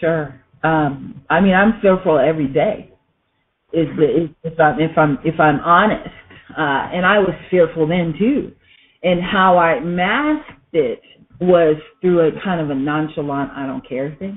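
A woman's fairly low pitch with an American accent, ordinary pitch variation, a fairly slow pace and long, frequent pauses. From Southern California. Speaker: entrepreneur. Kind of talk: interview. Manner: halting, many fillers and repeats.

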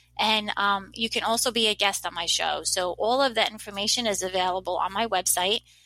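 With an American accent, a woman talks at a moderate pace and medium pitch in a bright, sharp tone with fairly even intonation. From New Jersey. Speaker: middle school technology teacher. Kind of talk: interview.

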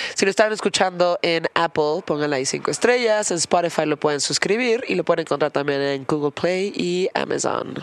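A woman with an American accent at a fairly low pitch, ordinary pitch variation and a very fast pace with hardly any pauses, in a dry, close sound with no echo against noticeable background noise. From Philadelphia, US. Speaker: podcast host. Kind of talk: casual interview; scripted outro. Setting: studio.

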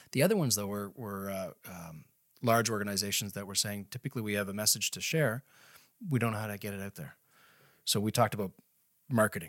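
A man with a Canadian Maritime accent talks at a very fast pace and a fairly low pitch. His pitch varies in an ordinary way, and he takes long, frequent pauses. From Nova Scotia, Canada. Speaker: marketing executive and company co-founder. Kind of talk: casual interview.

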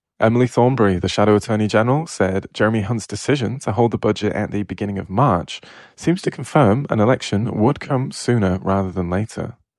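Man in a British accent, fairly low in pitch, at a very fast pace with ordinary pitch variation, against a quiet background. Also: hardly any pauses. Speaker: news briefing presenter. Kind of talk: formal newsreading, brisk and even, a headline-by-headline bulletin. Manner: formal; brisk and even-paced.

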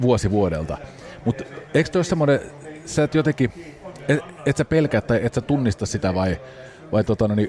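The speaker moves at a fairly quick pace with very wide pitch swings and very even loudness. Long, frequent pauses break up the speech over noticeable background noise. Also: man, medium pitch for a man. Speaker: podcast host. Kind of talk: casual interview; sponsor read.

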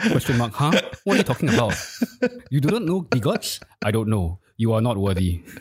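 The delivery runs at a fairly quick pace with very wide swings in pitch. Long pauses come often, and the loudness stays very even throughout. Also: man, medium pitch for a man. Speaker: crypto media executive. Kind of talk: casual chat.

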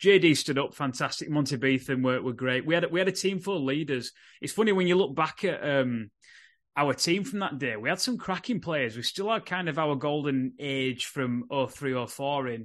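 Against a quiet background, a man with a Yorkshire accent talks at a fairly quick pace in a fairly high pitch. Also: lively intonation. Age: 30s. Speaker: rugby league podcast host. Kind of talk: casual chat.

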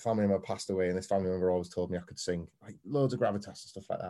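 A man speaks with a Yorkshire accent. His tone is dark and mellow. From northern England, Scarborough on the Yorkshire coast. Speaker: wrestling pundit. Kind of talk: casual review chat.

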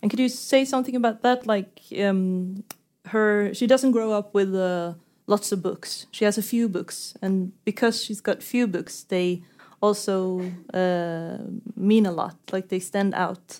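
A woman with a Norwegian accent speaks at a fairly slow pace, her pitch medium and her intonation fairly even. The recording is very clean, with a silent background. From Norway. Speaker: author and interviewer. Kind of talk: onstage literary conversation. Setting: stage with audience.

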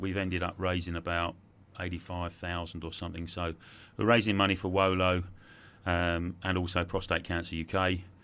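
A man talks at a moderate pace with a very deep, low pitch and a bright, sharp tone. His intonation is monotone and flat. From English Midlands, later Sussex. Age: 50s. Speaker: sales trainer and adventurer. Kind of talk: interview. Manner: halting, many repetitions.

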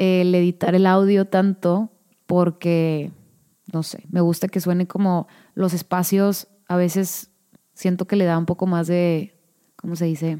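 A woman with a Mexican accent, a fairly low pitch and a dark, mellow tone, fairly slow and monotone, in a dry, close sound with no echo. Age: 30s. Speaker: podcast host. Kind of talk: casual solo monologue. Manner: natural with pauses.

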